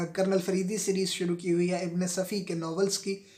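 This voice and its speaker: A high-pitched man in a monotone, flat intonation over noticeable background noise. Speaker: novel reader. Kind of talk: casual talk to camera.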